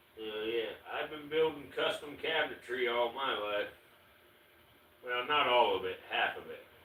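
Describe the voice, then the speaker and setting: This man talks at a fairly slow pace, and noticeable background noise runs underneath. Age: 60s. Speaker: reptile keeper livestreamer. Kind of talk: casual livestream chat. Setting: livestream.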